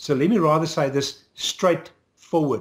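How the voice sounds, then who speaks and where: Speaking at a moderate pace, the voice sounds somewhat breathy. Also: man. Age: 60s. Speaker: political activist. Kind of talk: interview.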